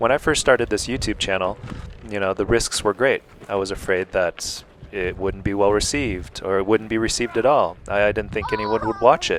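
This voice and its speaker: Against noticeable background noise, a man talks at a fairly quick pace with a fairly low pitch and ordinary pitch variation. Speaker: YouTuber. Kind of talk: vlog narration. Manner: calm.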